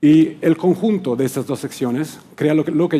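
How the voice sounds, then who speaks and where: Ordinary pitch variation shapes a man's dark, mellow tone. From Italy, Rome. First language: Italian (speaking Spanish). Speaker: client service director at a workplace research firm. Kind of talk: conference talk. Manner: occasional hesitations and restarts.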